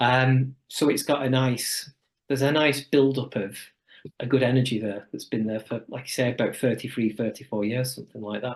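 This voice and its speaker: With a northern English accent, a man talks at a moderate pace in a medium pitch and fairly even intonation. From northern England, Wigan. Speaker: chiropractor. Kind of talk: podcast interview. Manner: hesitant, with fillers.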